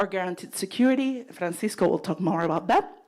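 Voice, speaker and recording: A woman speaks with a Puerto Rican accent. Her pitch is medium. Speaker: nonprofit leader. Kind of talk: presentation.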